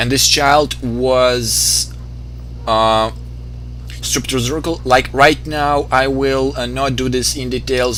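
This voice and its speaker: A man speaks very slowly with a non-native accent, his voice carrying audible room echo over noticeable background noise. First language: not English. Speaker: video game let's player. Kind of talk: gameplay commentary explaining lore. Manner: halting, many fillers.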